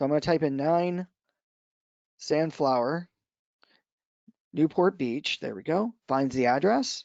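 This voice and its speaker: A man with an American accent talks in a fairly high voice with lively intonation. He leaves long, frequent pauses. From US East Coast, Washington D.C. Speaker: real estate association trainer. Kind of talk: software tutorial webinar. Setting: online webinar. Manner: fast.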